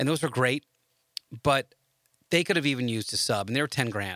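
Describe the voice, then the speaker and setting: Pitched in the medium range, a man's voice has a bright, sharp tone and ordinary pitch variation. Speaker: audio podcast host. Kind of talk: casual podcast monologue. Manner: halting, many fillers.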